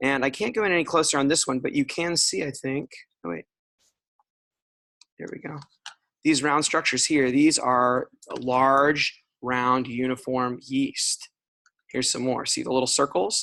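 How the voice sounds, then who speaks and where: A man's fairly high, bright and sharp voice, with ordinary pitch variation and long, frequent pauses. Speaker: pathologist lecturer. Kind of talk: lecture. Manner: fast.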